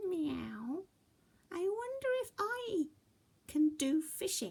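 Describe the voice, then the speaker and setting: A woman talks in a put-on character voice at an extremely high pitch. She goes very slowly. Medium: read story.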